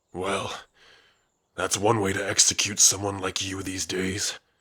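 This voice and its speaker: In a put-on character voice, a man sounds gruff and raspy, fairly low in pitch, with monotone, flat intonation at a moderate pace. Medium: solo performance. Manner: gruff, dismissive, frequent sighs.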